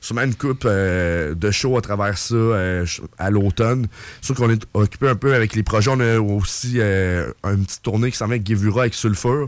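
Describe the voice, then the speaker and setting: This is an ordinary speaking voice from a man with a fairly low pitch. His loudness stays very even, and his pitch varies in an ordinary way. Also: moderate pace. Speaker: metal band musician. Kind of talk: casual interview.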